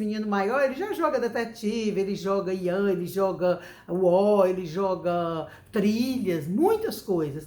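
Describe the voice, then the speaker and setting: Audible room echo and noticeable background noise surround a woman who talks at a fairly slow pace. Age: 60s. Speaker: educator giving parenting advice. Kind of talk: talk to camera, parenting advice. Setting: home recording.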